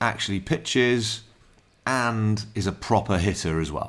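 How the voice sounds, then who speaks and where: Lively intonation from a fairly low-voiced man, on a very clean recording with a silent background. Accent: South Wales. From Wales, Newport. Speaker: podcast host. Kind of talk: casual chat.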